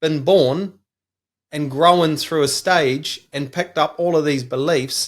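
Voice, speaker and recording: Spoken with a New Zealand accent, the voice moves at a very slow pace with ordinary pitch variation. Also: man. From New Zealand, small country town. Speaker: business coach. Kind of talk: podcast interview.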